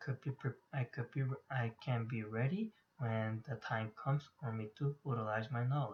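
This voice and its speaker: Somewhat breathy, this man's voice sits at a medium pitch. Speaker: graduate student. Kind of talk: class presentation. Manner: halting.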